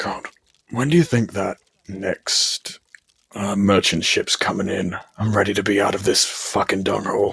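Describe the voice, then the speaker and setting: Speaking at a moderate pace, a man puts on a raspy character voice. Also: fairly low pitch for a man, ordinary pitch variation. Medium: actual play. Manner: cocky, casual, crude.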